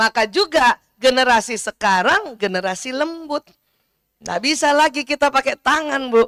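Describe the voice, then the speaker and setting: A woman's high-pitched voice, animated in tone, at a moderate pace with lively intonation, in a dry, close sound with no echo. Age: 50s. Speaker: doctor giving religious talk. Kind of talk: religious lecture to audience.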